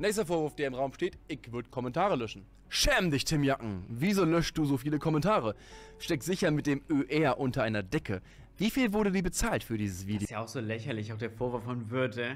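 Over faint background music, a man speaks at a fairly quick pace. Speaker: content creator. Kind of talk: casual commentary to viewers. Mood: sarcastic, amused. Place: home room. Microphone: studio mic.

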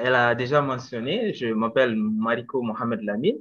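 Fairly slow speech with ordinary pitch variation over light background noise. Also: man. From Mali, Bamako; Mali. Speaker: English teacher and doctoral student. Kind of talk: casual presentation. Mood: friendly, smiling. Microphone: video call.

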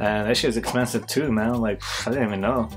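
Faint music plays in the background. Over it a man talks at a fairly quick pace with ordinary pitch variation. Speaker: vlogger. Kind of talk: casual vlog chat. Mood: amused, laughing often. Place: home room.

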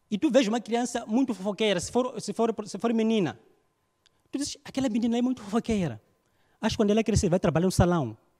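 A man with a dark, mellow tone and high pitch talks at a very fast pace. His pitch varies in an ordinary way, and the background is quiet. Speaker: stand-up comedian. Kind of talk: stand-up comedy; stand-up comedy routine. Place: stage. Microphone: handheld.

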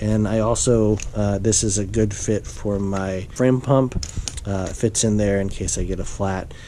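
A man talks at a fairly slow pace in a fairly low pitch, with fairly even intonation. Light background noise can be heard. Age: 40s. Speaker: video blogger, amateur cyclist. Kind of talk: tutorial. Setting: at home. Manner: casual, many fillers. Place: home room. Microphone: phone near.

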